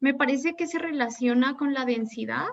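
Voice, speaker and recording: This woman has a high pitch with ordinary pitch variation. Her pace is moderate. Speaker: physics graduate student. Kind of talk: academic Q&A. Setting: video call.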